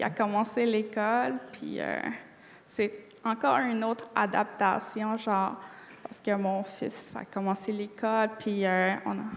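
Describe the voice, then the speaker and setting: Noticeable background noise sits behind a woman with a Quebec accent. She talks at a very slow pace at a medium pitch with ordinary pitch variation. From Atikamekw community, Quebec. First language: Atikamekw (speaking French). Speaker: college student. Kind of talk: interview. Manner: hesitant; fluent.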